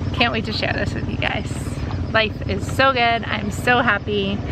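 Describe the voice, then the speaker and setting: A woman at a moderate pace, dry sound with no echo, over loud background noise. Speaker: sailing vlogger. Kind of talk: casual vlog chat. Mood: happy, relaxed. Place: boat. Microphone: phone near.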